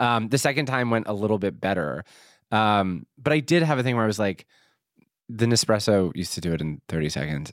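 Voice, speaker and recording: On a very clean recording with a silent background, a man with an American accent speaks fairly quickly at a fairly low pitch with very wide pitch swings. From Philadelphia. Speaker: podcast host. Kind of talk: casual chat. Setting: studio.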